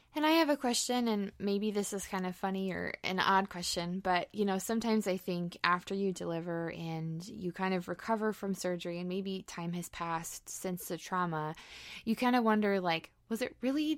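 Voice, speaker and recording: A woman with a plain, everyday voice talks at a moderate pace with hardly any pauses, medium pitch and ordinary pitch variation, in a very clean recording with a silent background. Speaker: podcast co-host and NICU mom. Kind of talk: casual interview.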